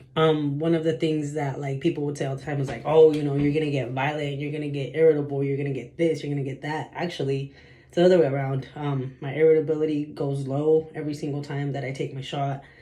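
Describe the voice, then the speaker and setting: A man talks very fast in a fairly high, somewhat breathy voice. His tone is dark and mellow, his intonation monotone and flat. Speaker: vlogger. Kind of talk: personal vlog monologue. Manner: halting, filler-heavy.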